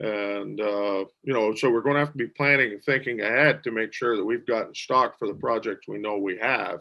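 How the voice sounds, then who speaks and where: A man with a plain, everyday voice speaks at a medium pitch and a moderate pace, with fairly even intonation and hardly any pauses. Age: 60s. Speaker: water well driller and business owner. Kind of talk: interview.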